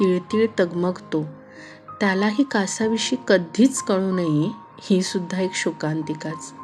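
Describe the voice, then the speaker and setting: Over music in the background, a woman speaks at medium pitch with ordinary pitch variation. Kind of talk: audio story narration. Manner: soft-spoken, emotional.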